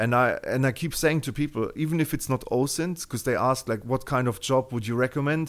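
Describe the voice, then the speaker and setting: A man with a German accent talks at a fairly quick pace with hardly any pauses, using a medium pitch and ordinary pitch variation. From Germany. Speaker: open-source intelligence researcher and job-site founder. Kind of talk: interview.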